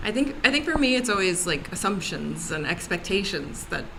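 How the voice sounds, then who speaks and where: In an American accent, a woman at medium pitch speaks at a moderate pace with very wide pitch swings, amid noticeable background noise and audible room echo. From United States. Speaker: panel guest on race discussion. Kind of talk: casual panel discussion.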